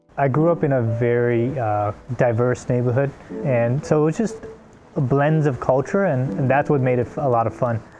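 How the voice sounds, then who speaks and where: With noticeable background noise, a man speaks at a medium pitch and moderate pace, showing ordinary pitch variation. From South Africa, Johannesburg. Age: 30s. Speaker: interviewee. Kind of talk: personal testimony.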